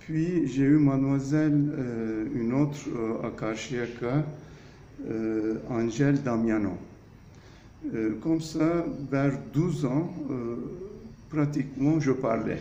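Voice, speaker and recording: Through noticeable background noise and audible room echo, a man at medium pitch talks at a very slow pace with ordinary pitch variation and long, frequent pauses. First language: Turkish (speaking French). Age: 60s. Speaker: architect. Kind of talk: interview. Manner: hesitant, many fillers.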